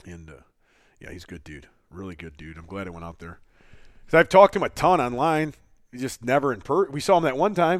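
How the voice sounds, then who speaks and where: On a very clean recording with a silent background, a man talks very fast at a medium pitch, with very wide pitch swings, big swings in loudness, and long, frequent pauses. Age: 30s. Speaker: podcast co-host, strength athlete. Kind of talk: casual chat. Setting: studio. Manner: laughs often.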